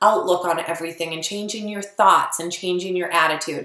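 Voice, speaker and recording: A woman at a fairly quick pace, with noticeable background noise and audible room echo. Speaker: network marketing coach. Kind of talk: tutorial. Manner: fast; casual.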